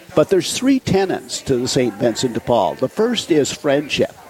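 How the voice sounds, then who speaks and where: Noticeable noise fills the background while a man talks with a fairly high pitch. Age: 70s. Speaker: charity volunteer leader. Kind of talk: radio interview. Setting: in person at a coffee shop, live radio broadcast.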